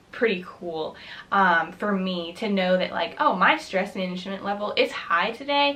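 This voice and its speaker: A woman speaks with an American accent at a moderate pace. Her intonation is lively, and background noise is noticeable. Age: 20s. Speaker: college student. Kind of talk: casual talk to camera. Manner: upbeat, friendly.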